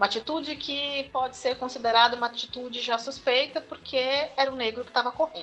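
A woman at a high pitch with music in the background. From Osasco, Greater São Paulo, Brazil. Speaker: university professor. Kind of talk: interview. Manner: halting.

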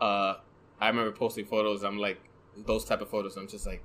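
A man talks in a soft-spoken way at a fairly low pitch. His pitch moves very little. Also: fairly quick pace, fairly bright tone.

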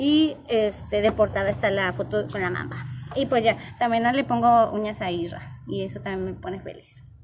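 A woman speaks at a moderate pace in a medium pitch. Her pitch swings very widely. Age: 20s. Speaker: nail technician, podcast co-host. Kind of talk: casual chat.

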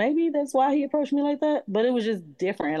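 With a dark, mellow tone, a woman speaks at a fairly quick pace in a dry, close sound with no echo and a quiet background. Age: 30s. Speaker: single mother. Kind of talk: casual chat.

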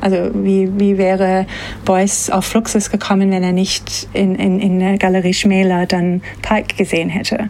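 A woman with a medium-pitched voice and a slight non-native accent talks at a fairly slow pace in a monotone, flat intonation. Her loudness stays very even, and noticeable background noise is present. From Australia, Sydney. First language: English (speaking German). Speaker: museum curator. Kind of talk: interview. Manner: hesitant with fillers.

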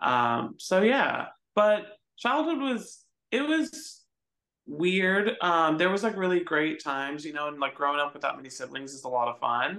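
A man with a high, bright, sharp voice, very wide pitch swings and a moderate pace. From Arizona, Phoenix. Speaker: addiction recovery worker. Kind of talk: casual interview.

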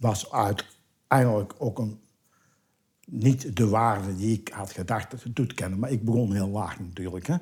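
Somewhat breathy, a man speaks at a fairly low pitch. His pace is fairly slow. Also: ordinary pitch variation. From Tilburg, Netherlands. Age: 70s. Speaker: retired neighbour, collector. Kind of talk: casual interview at home. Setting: living room at home. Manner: animated storyteller.

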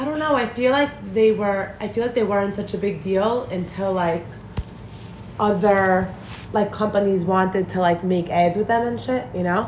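At a moderate pace and medium pitch, a woman speaks with ordinary pitch variation amid noticeable background noise and audible room echo. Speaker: podcast guest. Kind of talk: casual chat.

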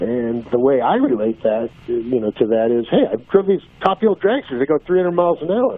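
A man talks at a medium pitch and a moderate speed, with noticeable noise in the background. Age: 50s. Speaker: drag racer and driving-safety program founder. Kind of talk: interview. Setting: phone call.

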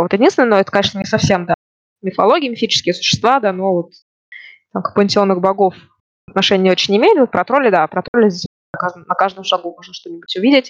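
This woman speaks at a very fast pace with long, frequent pauses. Her pitch is medium, with ordinary variation. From Russia, Ufa (Bashkortostan). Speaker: immigrant interviewee. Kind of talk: casual interview.

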